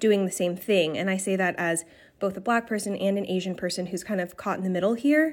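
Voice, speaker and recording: In a very clean recording with a silent background, a woman talks at a fairly quick pace in a plain, everyday voice, medium in pitch with ordinary pitch variation. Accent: American. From Brooklyn, New York. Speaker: listener. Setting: voice memo.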